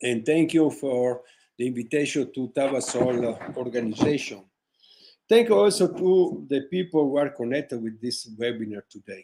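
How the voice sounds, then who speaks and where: A man with a dark, mellow tone talks at a moderate pace and medium pitch, his intonation lively. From northern Italy, Vicenza. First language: Italian. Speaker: orthodontist. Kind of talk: webinar lecture. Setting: online webinar. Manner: halting, with many fillers; reading from notes.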